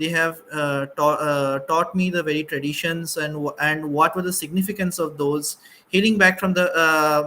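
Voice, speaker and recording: In a Bengali accent, a man with a fairly high pitch and a bright, sharp tone talks at a moderate pace with fairly even intonation. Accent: Bengali Indian English. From India, Assam (Bengali). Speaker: panelist, doctor. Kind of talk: panel discussion. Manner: halting, many fillers.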